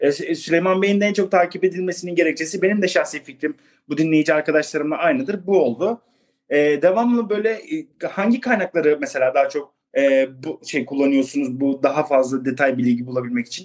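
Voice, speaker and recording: Lively in intonation and fairly quick in pace, a man speaks with a fairly high pitch. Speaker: podcast host. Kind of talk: casual chat. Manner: hesitant, many fillers.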